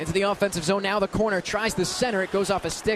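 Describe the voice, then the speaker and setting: Over noticeable background noise, a man talks at a fairly quick pace with high pitch and an excited tone. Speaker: radio play-by-play announcer. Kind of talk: live hockey play-by-play. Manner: fast, excited.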